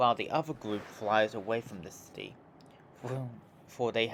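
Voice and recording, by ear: Text is read out naturally, the intonation staying fairly level.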